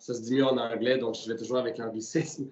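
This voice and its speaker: A man with a Quebec accent speaks at a medium pitch. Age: 20s. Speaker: entrepreneur. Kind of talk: interview. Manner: hesitant, many fillers.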